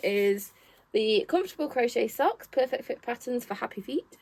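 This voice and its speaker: A woman with a Nottingham accent speaks at a moderate pace, her pitch high and her intonation lively. The sound is dry and close, with no echo. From Nottingham, England. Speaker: knitting shop owner and crafting vlogger. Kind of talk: casual chat.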